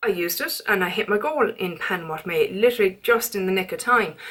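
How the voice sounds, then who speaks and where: A woman with an Irish accent speaks at a fairly high pitch with ordinary pitch variation. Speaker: beauty vlogger. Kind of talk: casual chat. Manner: fast.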